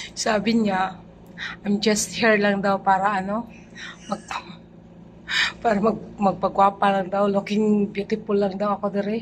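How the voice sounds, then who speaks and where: Soft-spoken and somewhat breathy, a woman at medium pitch talks at a fairly slow pace with flat, monotone intonation and long, frequent pauses. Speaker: vlogger. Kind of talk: casual vlog chat. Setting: condo gym. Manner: soft-spoken, lowered voice.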